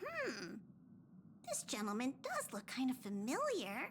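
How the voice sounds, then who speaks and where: A female-sounding put-on character voice comes through at high pitch and a fairly slow pace. Background noise is clearly audible. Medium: video game.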